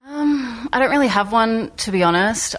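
Over a quiet background, a woman with an Australian accent speaks at a moderate pace with ordinary pitch variation. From South Australia, Port Augusta. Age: 20s. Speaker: artist. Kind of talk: interview. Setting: studio.

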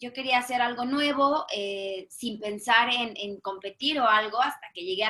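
A woman speaks in a normal speaking voice, fairly high-pitched, with ordinary pitch variation at a moderate pace. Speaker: high diver. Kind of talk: casual interview.

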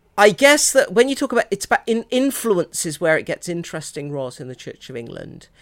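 The speaker uses an English accent with vocal fry, very wide pitch swings and big swings in loudness at a fairly quick pace. The sound is dry and close with no echo, on a very clean recording with a silent background. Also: woman, medium pitch for a woman. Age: 50s. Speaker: priest and theologian. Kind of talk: interview conversation. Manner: hesitant, many fillers.

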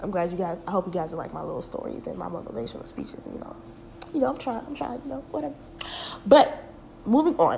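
A woman talks very fast in an animated tone, with big swings in loudness and long, frequent pauses. Noticeable background noise and audible room echo are present. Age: 20s. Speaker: podcast host. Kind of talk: casual monologue.

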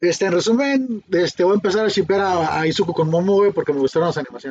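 This man's voice is high, with ordinary pitch variation. He speaks at a very fast pace. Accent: Mexican. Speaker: podcast host. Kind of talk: casual chat.

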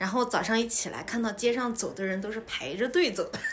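A woman speaks with a fairly high pitch and ordinary pitch variation. Audible room echo surrounds her voice. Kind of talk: casual interview and monologue for learners. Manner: clear, deliberate for learners.

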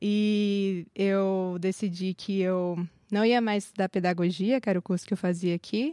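A woman speaks at a medium pitch in a dark, mellow tone with fairly even intonation. The recording is very clean, with a silent background. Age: 20s. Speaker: seminary student. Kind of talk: casual interview.

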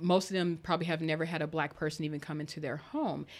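In a very clean recording with a silent background, a woman with an American accent speaks at a very deep, low pitch. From US South, Arkansas. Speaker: entrepreneur and author. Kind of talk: interview.

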